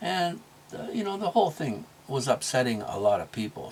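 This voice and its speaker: There is noticeable background noise behind this man. He speaks at a moderate pace with a fairly high pitch. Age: 60s. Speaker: motivational vlogger and small business owner. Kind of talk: casual monologue. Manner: halting, with many fillers and restarts.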